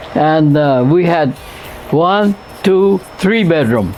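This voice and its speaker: Someone speaks with lively intonation while music plays in the background. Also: man. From Hawaii, Honolulu (Kakaako). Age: 90s. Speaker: elderly interviewee, oral history. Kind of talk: oral history interview. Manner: halting, with fillers.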